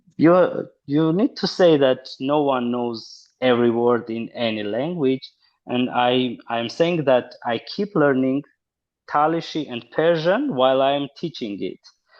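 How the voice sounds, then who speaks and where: A man with an Armenian accent speaks at a fairly slow pace with ordinary pitch variation. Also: medium pitch for a man. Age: 30s. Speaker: linguist and university lecturer. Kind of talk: interview. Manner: halting.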